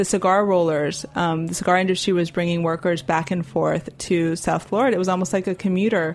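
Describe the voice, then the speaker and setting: A woman with an unremarkable speaking voice, medium in pitch, at a fairly quick pace. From Miami, Cuban-American family. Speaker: cookbook author. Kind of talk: interview.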